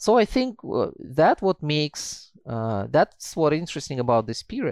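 A man speaks in a Russian accent at a fairly high pitch. The sound is dry and close with no echo, on a very clean recording with a silent background. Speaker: historian, author. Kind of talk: interview.

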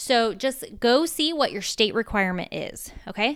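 On a very clean recording with a silent background, a woman with an American accent talks at a fairly slow pace, her fairly high voice animated in tone with lively intonation. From small-town US. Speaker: podcast host, mom life coach. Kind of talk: casual solo podcast talk.

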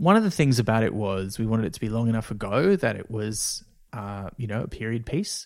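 A man with an Australian accent talks at a fairly quick pace, medium in pitch with ordinary pitch variation. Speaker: podcast co-producer and actor. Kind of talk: casual chat.

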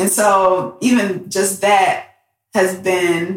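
This woman has an American accent. Her pitch is medium. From Detroit, Michigan. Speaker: aerospace engineer and STEAM educator. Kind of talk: casual interview. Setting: in person at guest's home.

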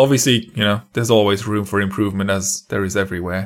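Against a silent background in a very clean recording, a man with a normal speaking voice talks at a fairly quick pace and fairly low pitch. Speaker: podcast host. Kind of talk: interview.

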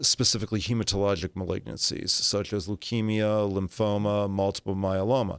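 A man with an American accent, a fairly low pitch and monotone, flat intonation, in a very clean recording with a silent background and a dry, close sound with no echo. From Los Angeles, California. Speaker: oncologist. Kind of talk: interview. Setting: studio.

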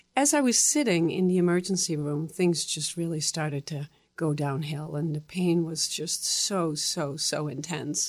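In a Dutch accent, a woman with a fairly low pitch speaks with hardly any pauses. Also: ordinary pitch variation, moderate pace. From Netherlands. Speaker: stroke survivor and advocate. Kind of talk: interview.

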